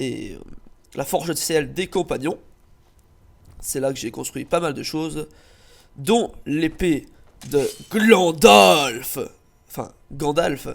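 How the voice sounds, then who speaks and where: Over a silent background in a very clean recording, the speaker moves at a very slow pace with long, frequent pauses, lively intonation, vocal fry and big swings in loudness. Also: man, fairly high pitch for a man. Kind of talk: channel introduction video.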